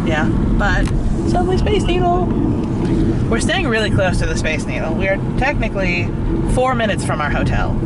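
The speech comes with long, frequent pauses and a dry sound with no echo, against loud background noise. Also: moderate pace. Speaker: travel vlogger. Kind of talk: casual vlog chat. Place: car.

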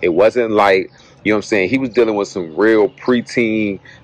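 Fairly low and fairly quick, a man with an ordinary speaking voice talks with fairly even intonation in a dry sound with no echo. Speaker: movie reviewer. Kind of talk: casual vlog review chat. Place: street. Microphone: phone near.

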